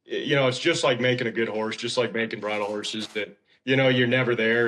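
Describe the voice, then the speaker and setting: An ordinary speaking voice from a man with an American accent, medium pitch, fairly even intonation and a fairly quick pace. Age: 30s. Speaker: horse trainer. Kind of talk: casual chat.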